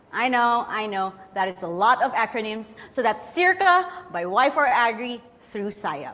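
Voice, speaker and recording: In a Filipino accent, a woman talks at a fairly slow pace with very wide pitch swings. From Philippines. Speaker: event host. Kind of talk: event hosting. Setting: online event. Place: studio.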